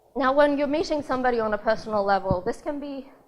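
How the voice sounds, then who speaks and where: The background is quiet. A woman talks at a fairly quick pace in a high pitch with ordinary pitch variation. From Australia. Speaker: conference speaker. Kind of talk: talk to a live audience.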